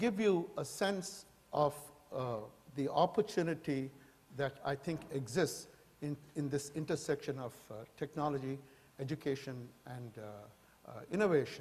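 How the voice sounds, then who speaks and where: A man with a fairly high pitch speaks at a moderate pace, his intonation lively and his voice somewhat breathy. His loudness swings widely, and he takes long, frequent pauses. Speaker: professor. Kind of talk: lecture. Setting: stage with audience. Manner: halting.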